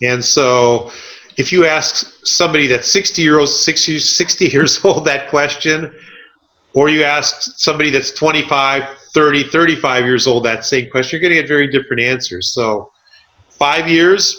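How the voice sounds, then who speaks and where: A man speaks with an American accent in a plain, everyday voice. His pitch is fairly high and his pace moderate. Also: ordinary pitch variation, very even loudness. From Southern California. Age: 60s. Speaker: realtor. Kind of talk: podcast interview.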